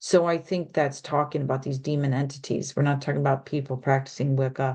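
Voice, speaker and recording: The intonation stays monotone and flat. The background is quiet. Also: woman. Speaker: spiritual channel host. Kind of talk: solo video talk from notes. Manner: hesitant, many fillers.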